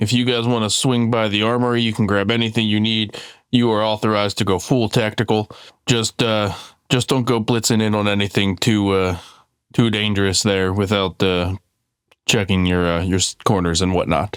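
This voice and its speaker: A man uses a gruff put-on character voice, fairly low in pitch, with fairly even intonation at a moderate pace. The recording is very clean with a silent background. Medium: actual play.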